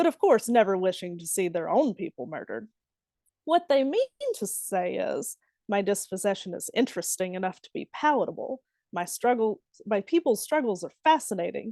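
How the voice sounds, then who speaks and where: Against a quiet background, the speaker uses a Southern US accent and a dark, mellow tone at a moderate pace, with very wide pitch swings and a dry, close sound without echo. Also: woman. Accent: Southern twang. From Alabama. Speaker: poet. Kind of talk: poetry reading. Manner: exaggerated Southern dialect.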